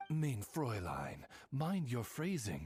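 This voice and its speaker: A man puts on a character voice at a medium pitch. Music plays in the background. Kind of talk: formal butler-like address. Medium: video game. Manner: polite, measured, courtly.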